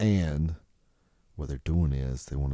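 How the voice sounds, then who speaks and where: A man's very deep, low pitch with a Southern US accent, a dark, mellow tone and ordinary pitch variation. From US South. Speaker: podcast host. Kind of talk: casual solo podcast monologue. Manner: casual, rambling with fillers.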